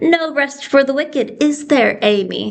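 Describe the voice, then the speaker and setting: A woman uses a put-on character voice at a high pitch. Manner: sweet on the surface, sinister.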